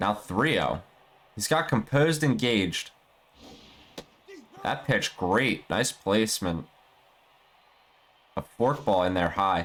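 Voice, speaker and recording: Over noticeable background noise, a man with a fairly low pitch swings very widely in pitch and pauses long and often. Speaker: esports play-by-play commentator. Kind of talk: live commentary. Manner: fast.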